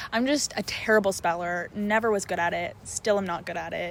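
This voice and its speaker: With an American accent, a woman speaks at a medium pitch with ordinary pitch variation. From Canadian Maritimes. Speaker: vlogger. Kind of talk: casual talk to camera.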